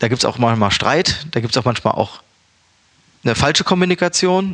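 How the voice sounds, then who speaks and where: Talking at a fairly quick pace, a man uses an ordinary speaking voice with lively intonation. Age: 30s. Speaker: chef and restaurant owner. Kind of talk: casual interview. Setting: recorded in Berlin.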